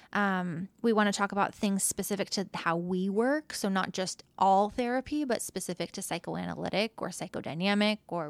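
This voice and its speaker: On a very clean recording with a silent background and a dry, close sound with no echo, a woman with a normal speaking voice talks at a moderate pace and a medium pitch, with ordinary pitch variation and hardly any pauses. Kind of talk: casual conversation, podcast interview.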